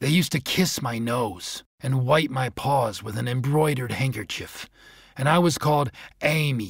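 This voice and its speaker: A man speaks in a gruff, put-on character voice at medium pitch and a moderate pace. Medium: read story. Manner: gruff, barking interjections.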